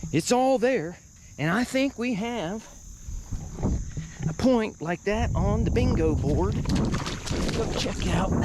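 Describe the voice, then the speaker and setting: Speech comes at a very slow pace with long, frequent pauses. Noticeable background noise runs underneath. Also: man, high pitch for a man. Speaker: artifact hunter and video host. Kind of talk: casual solo commentary while searching outdoors.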